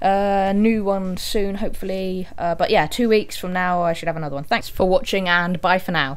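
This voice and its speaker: A woman talks at a medium pitch and a moderate pace with fairly even intonation and hardly any pauses. Audible room echo surrounds her voice. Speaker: gaming video creator. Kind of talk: game walkthrough commentary. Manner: casual, hesitant with fillers.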